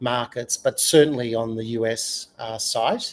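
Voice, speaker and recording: This is a man with an Australian accent. He speaks at a moderate pace. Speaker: UX consultant and author. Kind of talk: podcast interview.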